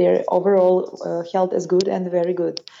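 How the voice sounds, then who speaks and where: This woman speaks with a Serbian accent. Noticeable background noise runs behind her. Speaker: allergist and immunologist. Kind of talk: interview. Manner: halting.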